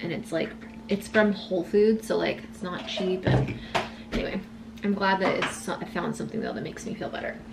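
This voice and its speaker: A woman keeps up a fairly quick pace while loud background noise plays behind her. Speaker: lifestyle vlogger. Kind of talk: casual vlog chat. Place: kitchen. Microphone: camera far.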